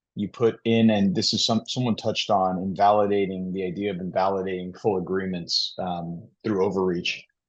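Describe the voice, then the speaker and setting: Over a quiet background, a man with a fairly low pitch talks at a moderate pace with hardly any pauses and monotone, flat intonation. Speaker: lawyer. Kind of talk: panel discussion.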